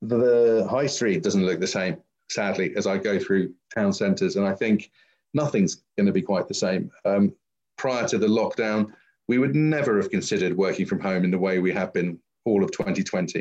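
A man speaks in a London accent at a moderate pace. His fairly low pitch has ordinary variation. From London, England. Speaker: visual effects company founder and CEO. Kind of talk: interview.

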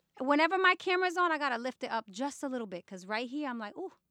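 A woman with a New York accent projects a raised, high-pitched voice at a very fast pace. Her pitch swings very widely, and the sound is dry and close with no echo. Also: big swings in loudness. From New York City, the Bronx. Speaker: hip hop journalist and magazine editor. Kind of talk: interview conversation.

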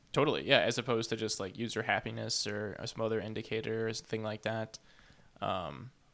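Bright and sharp in tone with vocal fry, a man talks at a fairly quick pace. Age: 30s. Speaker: podcast host. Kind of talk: casual chat. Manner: halting.

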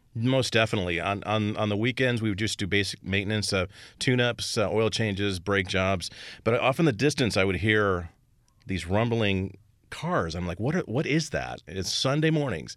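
A man with an American accent has a plain, everyday voice at a fairly low pitch. His intonation is lively, and the recording is very clean with a silent background. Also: moderate pace. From Indiana. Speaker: custom car shop owner. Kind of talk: casual interview.

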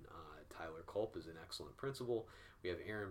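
A man talks at a fairly quick pace, sounding somewhat breathy. Room echo can be heard around him. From US Midwest, Peoria, Illinois. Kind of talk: Q&A answers in recorded video. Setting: video recording at a church.

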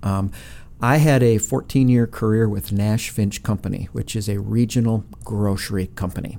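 A man with an Upper Midwest accent, fairly low pitch, dark and mellow tone, ordinary pitch variation and a moderate pace. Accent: Upper Midwest American. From Minnesota (Brainerd). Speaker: nonprofit CEO. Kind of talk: interview. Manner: halting, many fillers.

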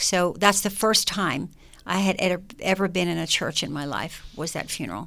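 A woman speaks with vocal fry and a bright, sharp tone, with ordinary pitch variation. The recording is very clean, with a silent background. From US, raised by immigrant parents from Germany. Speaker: gospel singer. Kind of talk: casual chat.

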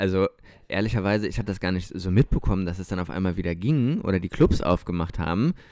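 Speaking at a very fast pace, a man with a very deep, low pitch and a dark, mellow tone shows ordinary pitch variation on a very clean recording with a silent background. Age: 20s. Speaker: podcast co-host. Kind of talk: casual chat. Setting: recording at co-host's home.

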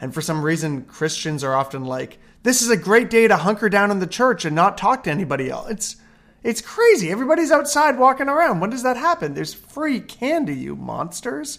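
On a very clean recording with a silent background, a man with an Ontario accent speaks at a high pitch and fairly quick pace in an energetic tone, his pitch swinging very wide. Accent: Canadian (Ontario). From Hamilton, Ontario, Canada. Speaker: pastor and church planter. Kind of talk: interview. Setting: at home.

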